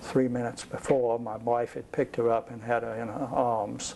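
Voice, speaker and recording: A medium-pitched male voice amid noticeable background noise. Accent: American. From US South. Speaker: war veteran. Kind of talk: oral history interview. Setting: home. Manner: halting.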